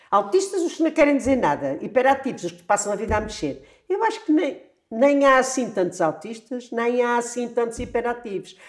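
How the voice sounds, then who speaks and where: Her pitch is high and swings very widely. The woman keeps a fairly quick pace. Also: big swings in loudness. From Azores, Flores island. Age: 70s. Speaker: retired primary school teacher. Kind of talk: interview conversation.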